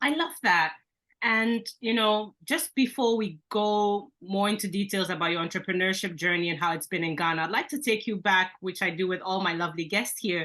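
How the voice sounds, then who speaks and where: Over a quiet background, a woman with a bright, sharp tone speaks at a medium pitch and moderate pace. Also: ordinary pitch variation. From Belgium. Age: 30s. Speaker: business coach, podcast host. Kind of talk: interview.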